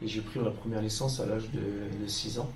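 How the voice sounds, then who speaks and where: Medium-pitched male speech at a moderate pace with fairly even intonation, music in the background and audible room echo. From France, Roussillon area near Lyon (Isère). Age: 30s. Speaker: retired professional footballer. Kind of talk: interview. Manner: hesitant, many fillers.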